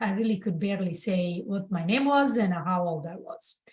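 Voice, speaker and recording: A woman with an Italian accent speaks at a medium pitch, somewhat breathy. Her intonation is lively. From southern Italy, Bari. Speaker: architect and public-sector construction leader. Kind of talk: podcast interview.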